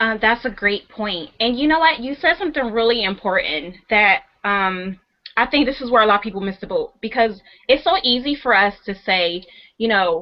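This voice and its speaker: Her intonation lively, a woman talks at a moderate pace with a fairly high pitch. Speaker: web show host. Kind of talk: interview. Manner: halting.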